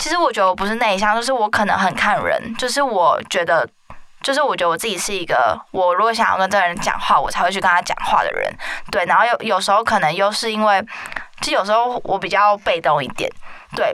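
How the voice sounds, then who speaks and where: A woman's very fast, medium-pitched speech with lively intonation over noticeable background noise. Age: 20s. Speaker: podcast host. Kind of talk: casual chat.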